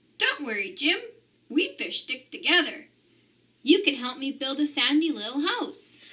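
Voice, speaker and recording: Putting on a character voice, a woman speaks high at a moderate pace. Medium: read story.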